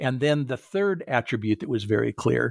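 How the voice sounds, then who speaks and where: In an American accent, a man of medium pitch speaks at a moderate pace, captured dry and close with no echo on a very clean recording with a silent background. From Southern California. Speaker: retired college president and author. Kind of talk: interview. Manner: hesitant with many fillers.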